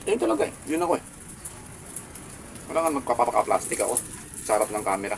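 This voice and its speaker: A man at a medium pitch, very fast, with lively intonation and long, frequent pauses, over noticeable background noise. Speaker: food vlogger. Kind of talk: mukbang vlog. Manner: calm, subdued.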